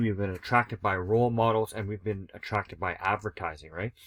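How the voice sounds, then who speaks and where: A man with a fairly low voice talks in a fairly even intonation on a very clean recording with a silent background. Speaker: sobriety coach. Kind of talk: presentation. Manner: fast; casual.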